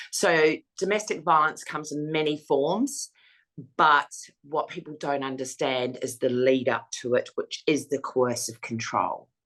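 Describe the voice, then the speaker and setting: A woman with an Australian accent, very deep, low pitch, ordinary pitch variation and a fairly slow pace. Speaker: domestic violence survivor and foundation founder. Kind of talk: interview testimony. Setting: interview. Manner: hesitant fillers.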